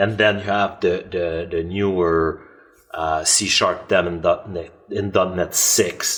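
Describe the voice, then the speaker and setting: Speech comes at a very slow pace from a man. Background noise is noticeable. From Canada. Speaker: software author and developer. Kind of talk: podcast interview. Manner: halting, many fillers and repetitions.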